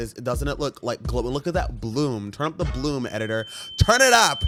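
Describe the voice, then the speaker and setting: Music plays in the background. A man is speaking. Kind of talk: reaction video commentary. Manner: sassy, playful.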